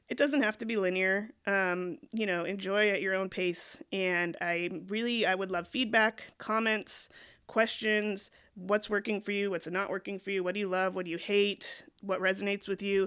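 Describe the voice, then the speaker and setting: In a very clean recording with a silent background, a woman of medium pitch speaks at a moderate pace with fairly even intonation. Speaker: YouTuber / vlogger. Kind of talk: casual vlog monologue. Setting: recording alone at a laptop.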